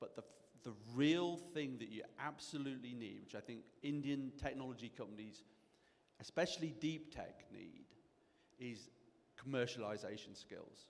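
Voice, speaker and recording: A man with a British accent at medium pitch, ordinary pitch variation, big swings in loudness, moderate pace and long, frequent pauses. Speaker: angel investor and mentor. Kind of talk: panel discussion.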